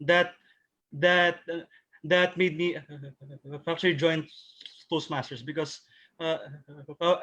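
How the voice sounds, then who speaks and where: This man's high-pitched voice, bright and sharp in tone, stays monotone and flat as he talks at a very slow pace with long, frequent pauses. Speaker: club member. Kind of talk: Q&A question. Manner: halting.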